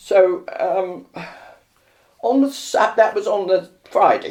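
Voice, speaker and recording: In a London accent, a woman speaks at a very slow pace. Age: 90s. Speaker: elderly patient. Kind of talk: interview.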